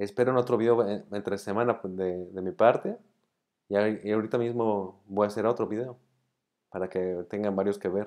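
With fairly even intonation and a moderate pace, a man is heard against a quiet background. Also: fairly low pitch for a man. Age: 40s. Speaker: illness survivor vlogger; vlogger. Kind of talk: monologue to camera, partly read argument. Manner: halting, with repeated words. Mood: calm, reflective. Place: home room. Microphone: earbuds.

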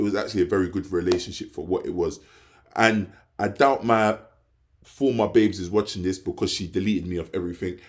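Speaking very fast with a London accent, a man keeps a fairly low pitch and fairly even intonation. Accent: London English, multicultural London English. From England, London (Hackney). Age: 20s. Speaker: vlogger. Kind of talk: casual vlog monologue. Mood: reflective, philosophical. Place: home room. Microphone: phone near.

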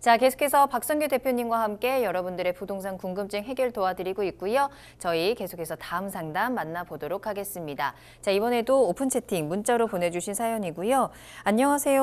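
With lively intonation, the woman talks at a fairly brisk clip. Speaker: TV show host. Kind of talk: broadcast hosting. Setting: studio. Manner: formal, polished. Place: studio.

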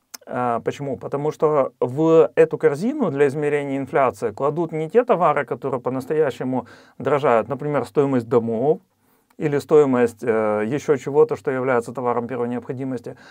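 The speaker keeps a moderate pace with ordinary pitch variation. The background is quiet. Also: man, fairly high pitch for a man. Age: 40s. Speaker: real estate investor, channel host; channel host. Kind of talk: educational presentation with slides. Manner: frequent hesitations (э). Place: studio. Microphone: lapel.

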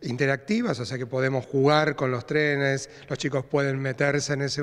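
A man talks at a middling speed, and the background stays quiet. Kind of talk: interview answer. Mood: friendly, informative. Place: hall. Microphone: handheld.

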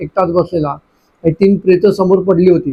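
The man talks with a high pitch. His intonation varies fairly little. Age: old. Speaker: storyteller. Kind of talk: storytelling to children. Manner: gentle.

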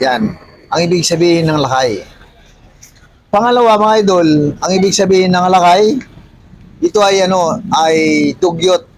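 Pitched high for a man, his voice keeps a very even loudness at a moderate pace, broken by long, frequent pauses. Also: ordinary pitch variation. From Ilocos region, Philippines. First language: Ilocano (speaking Tagalog). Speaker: vlogger. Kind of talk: casual explainer vlog.

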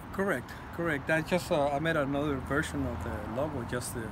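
Amid loud background noise, a man talks at a moderate pace and a medium pitch. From Mexico. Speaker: leather and metal artist; interviewee. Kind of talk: interview. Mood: warm, reflective. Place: street. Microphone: phone near.

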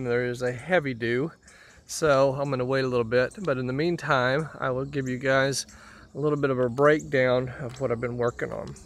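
A man speaks with a fairly bright tone and fairly even intonation.

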